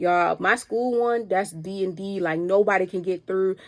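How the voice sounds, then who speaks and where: An animated tone carries a Baltimore accent with ordinary pitch variation. The recording is very clean, with a silent background. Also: woman. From Baltimore, Maryland, US. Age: 20s. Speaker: podcast host. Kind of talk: casual motivational monologue. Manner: fast.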